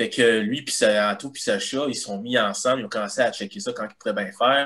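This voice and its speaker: At a moderate pace, a man with a Quebec accent speaks at medium pitch with ordinary pitch variation. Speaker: guitarist and illustrator. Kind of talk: casual chat.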